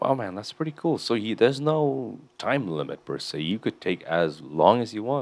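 A man at medium pitch with vocal fry, very wide pitch swings, a moderate pace and hardly any pauses. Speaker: podcast host. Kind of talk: casual chat.

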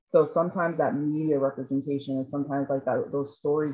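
This woman's pitch sits very deep and low, with a dark, mellow tone. She talks at a fairly quick pace, her intonation fairly even. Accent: American. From Chicago. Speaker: panel moderator. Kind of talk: panel discussion moderation. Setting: video call.

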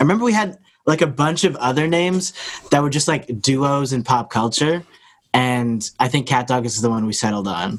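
Here a man speaks at a moderate pace and a medium pitch. His intonation is lively. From Toronto, Canada. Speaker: rapper and gamer. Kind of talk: casual chat.

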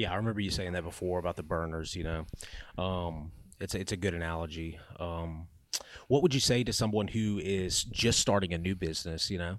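A man's very deep, low voice at a fairly quick pace. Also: ordinary pitch variation, very clean recording, silent background. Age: 30s. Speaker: podcast host. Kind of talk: casual chat.

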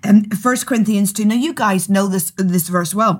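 The recording is very clean with a silent background. The voice is somewhat breathy, with ordinary pitch variation. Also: woman. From Northern Ireland. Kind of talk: casual chat about scripture and prophecy. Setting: studio.

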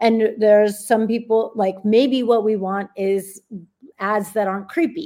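Speaking with a Californian accent at a fairly slow pace, a woman has a fairly high pitch and a dark, mellow tone. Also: ordinary pitch variation. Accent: Californian American. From US, Los Angeles. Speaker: data scientist and author. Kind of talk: interview.

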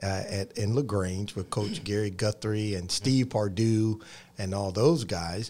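A man speaks with a Georgia accent. His pitch varies in an ordinary way, and his pace is fairly slow. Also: fairly low pitch for a man. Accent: Southern American (Georgia). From US South, Columbus, Georgia. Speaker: pastor. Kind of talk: interview on TV faith show.

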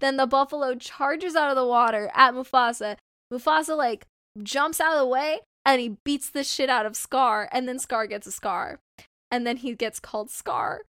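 Her high pitch and bright, sharp tone come through as a woman with an American accent speaks at a moderate pace, in a dry, close sound with no echo and a very clean recording with a silent background. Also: ordinary pitch variation. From Southern California. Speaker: podcast co-host. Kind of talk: casual chat. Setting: home bedroom.

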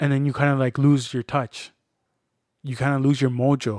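A man talks at a moderate pace in a medium-pitched voice with a dark, mellow tone and monotone, flat intonation. The recording is very clean with a silent background, and the sound is dry and close with no echo. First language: Spanish. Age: 30s. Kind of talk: casual chat.

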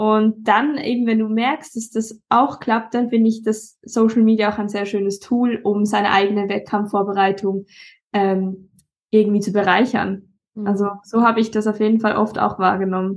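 Against a quiet background, a woman speaks at a moderate pace. Her pitch is fairly high and her intonation monotone and flat. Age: 20s. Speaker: bodybuilder. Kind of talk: casual chat.

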